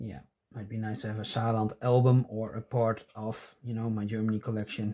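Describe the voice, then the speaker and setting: With a non-native accent, a man talks at a fairly quick pace in a dark, mellow tone and a monotone, flat intonation. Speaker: stamp collecting youtuber. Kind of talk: casual chat. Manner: halting. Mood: relaxed, pleased. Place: home room.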